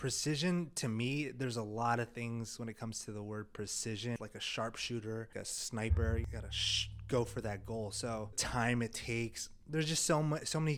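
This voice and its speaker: A man speaks at a moderate pace in a medium pitch, with hardly any pauses. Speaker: video production company founder. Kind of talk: casual vlog monologue. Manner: monotone.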